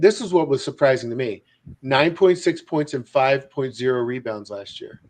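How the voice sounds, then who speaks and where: A man with an American accent talks at a moderate pace and a fairly high pitch. His loudness swings widely. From Baltimore, Maryland. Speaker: sports podcast host. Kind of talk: casual sports chat.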